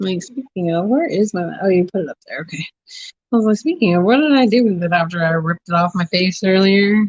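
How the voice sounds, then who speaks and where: A woman talks at a very fast pace in a somewhat breathy voice with ordinary pitch variation. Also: medium pitch for a woman. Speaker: craft hobby livestreamer. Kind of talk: casual livestream chat. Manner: animated.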